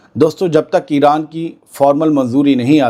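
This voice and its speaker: A man speaks in a calm tone. His voice is dark and mellow, with a fairly high pitch. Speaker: news presenter. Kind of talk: news commentary. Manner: calm, unhurried; soft-spoken.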